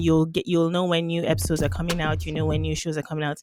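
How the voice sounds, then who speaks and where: Music plays in the background as a woman speaks with a Yoruba accent. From Nigeria. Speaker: economist and podcast host. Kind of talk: interview.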